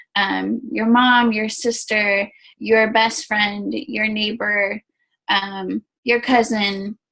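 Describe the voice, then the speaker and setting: This is a woman's voice. Her pitch is fairly high. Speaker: network marketing team leader. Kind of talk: training talk to team. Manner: casual, filler-heavy.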